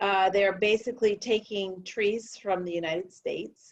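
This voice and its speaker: With music in the background, a woman speaks at a fairly slow pace and medium pitch in a fairly even intonation. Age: 60s. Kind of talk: casual chat.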